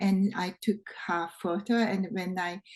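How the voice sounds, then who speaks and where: Somewhat breathy, a woman speaks with a non-native accent and fairly even intonation. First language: not English. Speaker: photographer. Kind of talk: interview answer. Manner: hesitant, many fillers.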